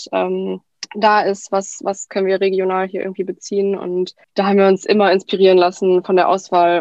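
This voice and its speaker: Flat and monotone, a woman talks at a fairly quick pace. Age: 20s. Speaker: cookbook author. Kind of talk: casual interview.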